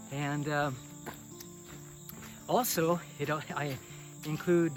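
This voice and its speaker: Over music in the background, a man talks with fairly high pitch and ordinary pitch variation. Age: 70s. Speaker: vlogger. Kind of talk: casual monologue. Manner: halting.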